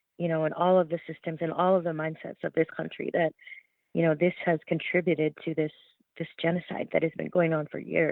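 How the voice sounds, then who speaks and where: The voice has a Canadian accent and moves at a fairly quick pace. Its intonation is monotone and flat. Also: woman, fairly low pitch for a woman. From Alberta, Canada. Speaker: journalist. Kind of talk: interview.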